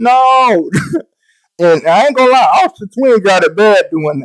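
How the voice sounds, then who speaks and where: The speaker has a Southern US accent. The sound is dry and close, with no echo. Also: man. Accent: Southern US, country. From US South, Mississippi. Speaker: gaming streamer. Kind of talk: live stream tutorial, casual chat. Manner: casual, animated.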